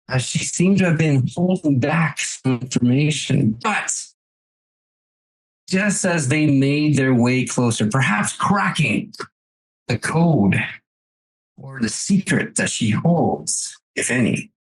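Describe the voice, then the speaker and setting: A cartoonish character voice sits at a low-to-middle pitch, moving at a fairly slow pace with long, frequent pauses. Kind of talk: anime episode recap narration. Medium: actual play. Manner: dramatic, sweeping.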